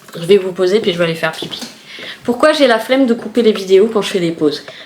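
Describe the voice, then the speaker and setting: Noticeable background noise accompanies a woman whose intonation is lively. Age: 40s. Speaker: vlogger. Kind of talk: casual vlog chat. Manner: animated; unfinished sentences.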